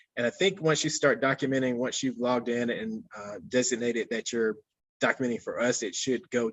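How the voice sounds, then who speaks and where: A man talks at a medium pitch with an American accent. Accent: Southern drawl, growing stronger with age. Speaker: conservation botanist. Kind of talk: webinar Q&A. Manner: hesitant, many fillers.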